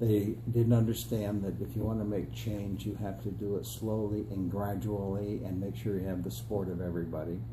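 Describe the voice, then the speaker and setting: A man's fairly low voice with an American accent, fairly quick and lively, with hardly any pauses and audible room echo. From upstate New York (Adirondacks). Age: 60s. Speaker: political candidate, retired school superintendent. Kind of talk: interview. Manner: hesitant fillers.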